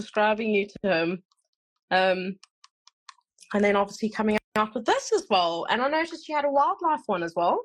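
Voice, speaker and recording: At a moderate pace and with long, frequent pauses, a woman speaks in a fairly high pitch that swings very widely. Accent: slight South African. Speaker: podcast host and animal artist. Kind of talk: casual interview chat.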